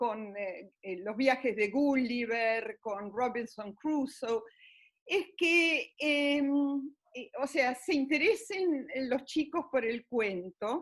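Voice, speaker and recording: The voice carries an Argentine accent and lively intonation. Its pace is very slow. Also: woman, high pitch for a woman. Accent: Argentine Spanish (Rioplatense). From Argentina. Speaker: grandmother storyteller. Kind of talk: interview answer. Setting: internet call. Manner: hesitant.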